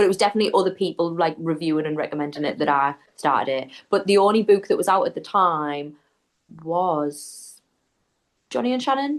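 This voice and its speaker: A woman talks with a strong Geordie accent and a fairly low pitch. Her intonation is lively and her pace fairly quick. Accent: thick Geordie. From northeast England (Newcastle area). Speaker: book content creator. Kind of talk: casual chat.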